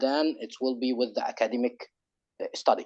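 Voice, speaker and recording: With an Arabic accent, a man speaks at a fairly quick pace in a dark, mellow tone with lively intonation. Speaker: webinar participant. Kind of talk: question at online webinar. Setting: online webinar. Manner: halting with many repetitions.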